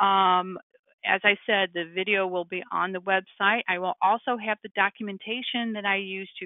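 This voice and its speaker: A woman talks at a moderate pace in a medium pitch. She has an unremarkable speaking voice. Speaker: software trainer. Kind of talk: webinar tutorial. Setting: webinar screen share.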